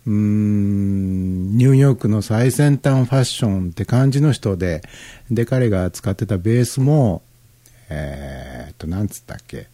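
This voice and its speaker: The man's voice has a dark, mellow tone. It is somewhat breathy. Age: 50s. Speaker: internet radio DJ. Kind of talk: casual music show talk. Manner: relaxed, filler-heavy.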